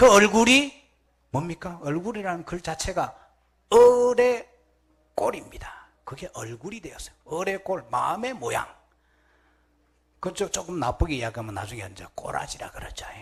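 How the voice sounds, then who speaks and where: A man with high pitch speaks at a moderate pace, using very wide pitch swings, big swings in loudness and long, frequent pauses. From Gyeongsang Province, Korea. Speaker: Buddhist monk. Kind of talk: sermon.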